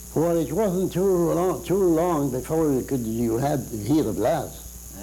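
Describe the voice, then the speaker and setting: With a dark, mellow tone and fairly high pitch, a man speaks at a fairly slow pace with lively intonation. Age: 80s+. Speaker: war veteran. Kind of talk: interview answer. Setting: studio.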